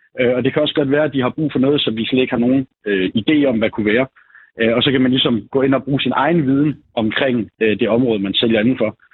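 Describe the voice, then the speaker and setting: At a very fast pace, a man speaks with medium pitch, fairly even intonation and very even loudness. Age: 20s. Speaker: salesman. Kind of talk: phone interview. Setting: phone call.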